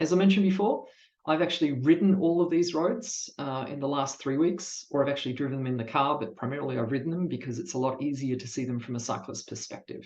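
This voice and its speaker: A man with an Australian accent talks at a very fast pace with hardly any pauses. His pitch is fairly high, with ordinary variation. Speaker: cycling event ride leader. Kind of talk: online presentation.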